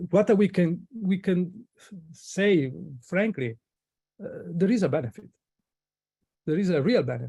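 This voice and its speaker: Speaking with a non-native accent, a man uses high pitch, a dark, mellow tone and lively intonation at a fairly slow pace with long, frequent pauses. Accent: foreign. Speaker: guest presenter, materials engineer. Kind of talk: webinar Q&A answer. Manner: halting, many fillers and false starts.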